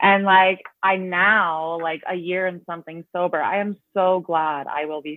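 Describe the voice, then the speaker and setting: Delivered at a moderate pace, an unremarkable speaking voice keeps a fairly even intonation. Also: woman. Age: 30s. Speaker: person in recovery. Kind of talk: casual chat.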